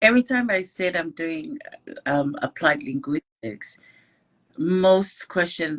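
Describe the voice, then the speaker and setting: A woman speaks with a Tongan accent at a fairly low pitch. Her pitch swings very widely. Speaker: scholarship student. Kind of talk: casual interview. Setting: online live stream.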